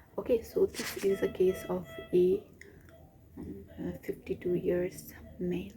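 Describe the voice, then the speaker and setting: Quiet and fairly slow, the voice swings widely in loudness and leaves long, frequent pauses, with music playing in the background. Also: woman. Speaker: doctor. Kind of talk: vlog. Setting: hospital.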